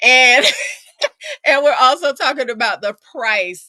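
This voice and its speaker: A woman speaks at a moderate pace with lively intonation and a bright, sharp, animated tone. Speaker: podcast co-host. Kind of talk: casual chat. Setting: live stream.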